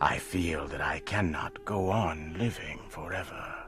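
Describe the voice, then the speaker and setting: Over clear music in the background, a man speaks slowly in a very deep, low voice. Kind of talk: slow learner-English story reading. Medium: read story. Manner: slow, clear, measured.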